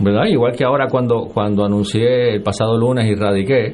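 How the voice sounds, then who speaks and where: There is audible room echo and noticeable background noise. A man talks at a fairly quick pace with a medium pitch and fairly even intonation. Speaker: senator and political candidate. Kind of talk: radio interview.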